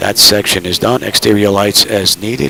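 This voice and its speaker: Over noticeable background noise, a man talks fairly slowly in a fairly low pitch with fairly even intonation. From New York City (Brooklyn). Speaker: flight sim streamer. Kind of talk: live stream commentary with checklist callouts. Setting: home cockpit simulator, live stream. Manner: casual, conversational.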